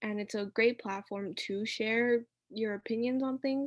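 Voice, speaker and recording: Against a quiet background, a woman speaks at a fairly high pitch with fairly even intonation and a dry, close sound with no echo. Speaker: youth speaker. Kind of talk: speech. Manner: fast.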